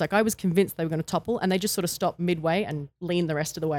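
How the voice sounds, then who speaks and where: A woman with an Australian accent talks very fast in a fairly low voice with ordinary pitch variation. The recording is very clean and silent behind her, with a dry, close sound and no echo. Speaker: retired wrestler. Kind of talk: interview.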